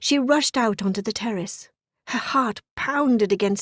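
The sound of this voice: Quiet surroundings and an unforced reading voice.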